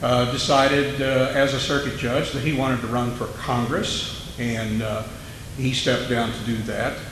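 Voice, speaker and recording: This man has an American accent and a medium pitch, speaking at a moderate pace with monotone, flat intonation. Noticeable background noise and audible room echo surround his voice. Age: 60s. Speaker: judge running for office. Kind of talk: candidate forum speech.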